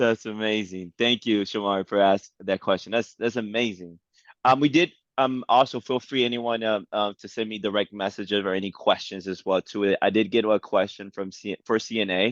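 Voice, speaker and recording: Using an unremarkable speaking voice, a man with an American accent talks at a fairly low pitch with fairly even intonation. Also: fairly quick pace. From New York. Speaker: event host. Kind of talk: panel moderation.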